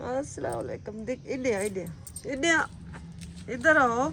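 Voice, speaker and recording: A woman with a fairly high pitch talks very slowly, her pitch varying in an ordinary way. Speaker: vlogger. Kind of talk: casual vlog.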